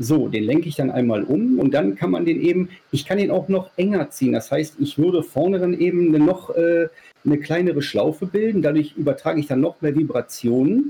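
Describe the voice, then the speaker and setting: A man speaks in an ordinary speaking voice, fairly high-pitched, at a fairly quick pace, with lively intonation and very even loudness. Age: 40s. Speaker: sex toy maker. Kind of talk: casual interview.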